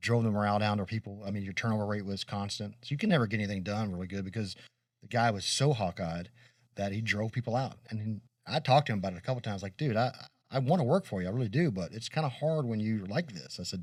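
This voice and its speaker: At a very fast pace, a man talks with a fairly low pitch and ordinary pitch variation on a very clean recording with a silent background. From Kentucky. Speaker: podcast co-host. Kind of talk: casual chat.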